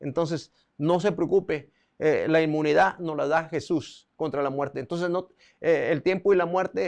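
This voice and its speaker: The background is quiet. A man with a high voice speaks with ordinary pitch variation. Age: 60s. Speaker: preacher. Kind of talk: sermon. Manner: halting.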